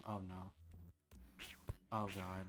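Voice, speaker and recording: A soft-spoken voice with music in the background. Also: man. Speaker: VTuber streamer. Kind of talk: casual gaming livestream chat. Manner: soft-spoken, quiet; hesitant, many fillers. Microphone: mic close, noise gate on, level low.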